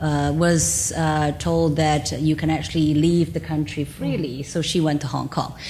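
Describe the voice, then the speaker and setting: Delivered at a fairly slow pace, the speech keeps fairly even intonation. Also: woman. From China. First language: Chinese. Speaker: business executive. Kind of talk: panel conversation.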